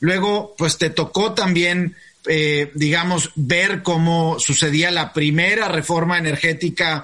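Speaking at a very slow pace, a man uses a high pitch and fairly even intonation. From Mexico. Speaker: podcast host. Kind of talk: interview. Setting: video call.

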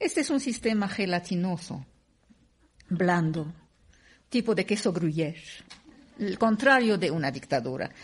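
With a quiet background, a woman with a somewhat breathy, medium-pitched voice speaks at a fairly slow pace, her pitch swinging very widely between long, frequent pauses. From Syria. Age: 50s. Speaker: writer and radio host. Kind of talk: panel conversation.

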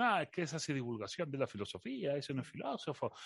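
A man with an Andalusian accent talks at a very fast pace, his fairly high pitch carrying lively intonation against a quiet background. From Seville, Andalusia. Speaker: philosophy communicator. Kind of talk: interview.

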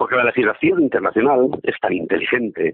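A man, talking at a fairly quick pace. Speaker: columnist. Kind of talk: opinion column reading.

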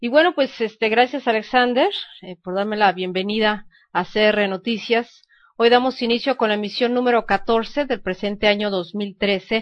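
A woman with an ordinary speaking voice talks at a fairly slow pace in a fairly high pitch with ordinary pitch variation. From Mexico. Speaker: news radio host. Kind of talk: news reading.

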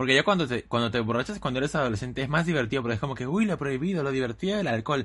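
Talking at a very fast pace, a man with a medium pitch uses lively intonation. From Lima, Peru. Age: 20s. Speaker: podcast co-host. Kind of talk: casual chat.

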